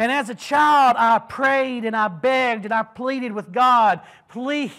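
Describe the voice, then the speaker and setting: A man speaks in a raised, projected voice at an extremely high pitch, his tone bright, sharp and animated. His pitch varies in an ordinary way at a fairly slow pace over a quiet background. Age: 20s. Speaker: preacher. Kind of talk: sermon. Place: church.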